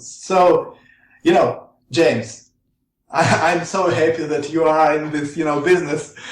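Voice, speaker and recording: A man speaks with a Russian accent, and audible echo fills the room. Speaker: researcher. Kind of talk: interview. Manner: halting.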